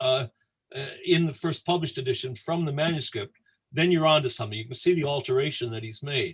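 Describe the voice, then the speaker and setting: A man speaks in a somewhat breathy, fairly high voice with an American accent. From United States. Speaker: Dickens scholar. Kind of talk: anecdote on livestream tour. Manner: halting, with many fillers.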